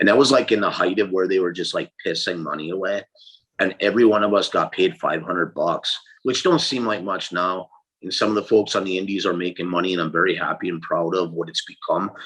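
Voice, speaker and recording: Very fast talking comes from a man with an American accent. His pitch is very deep and low. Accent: strong accent people associate with Canada. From Upper Peninsula of Michigan. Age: 50s. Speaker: wrestling promoter and former wrestler. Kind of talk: interview.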